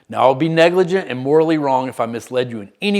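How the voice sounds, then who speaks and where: Over a silent background on a very clean recording, a man talks at a fairly quick pace. He has a Southern US accent and lively intonation. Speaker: recovery coach, former benzodiazepine user. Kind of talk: scripted educational narration.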